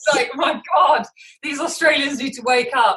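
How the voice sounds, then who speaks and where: A woman with a British accent at a moderate pace. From England, London. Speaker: vegan athlete, ex personal trainer. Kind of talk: interview.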